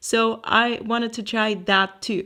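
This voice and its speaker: A woman with a German accent talks at a fairly high pitch against a quiet background. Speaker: artist and podcast host. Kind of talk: casual solo podcast talk.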